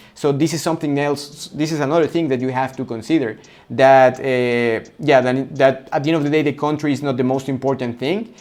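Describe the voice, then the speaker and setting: Fairly high for a man, this voice carries a Spanish accent. He moves at a fairly quick pace with fairly even intonation. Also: hardly any pauses. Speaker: coaching business consultant. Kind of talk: tutorial. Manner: halting, with repetitions.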